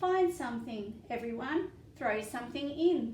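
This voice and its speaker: A woman uses a put-on character voice at a high pitch and moderate pace. There is light background noise and a slight echo. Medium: read story.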